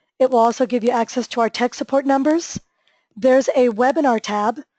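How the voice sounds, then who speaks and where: A woman's high-pitched voice with a dark, mellow tone, fairly even intonation and a fairly quick pace, the sound dry and close with no echo. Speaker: software trainer. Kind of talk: webinar tutorial. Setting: online webinar. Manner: fast.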